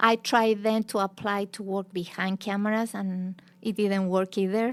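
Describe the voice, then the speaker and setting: The recording is very clean, with a silent background. A woman with a Chilean Spanish accent speaks at medium pitch in a monotone, flat way. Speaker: teacher and former journalist. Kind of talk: interview.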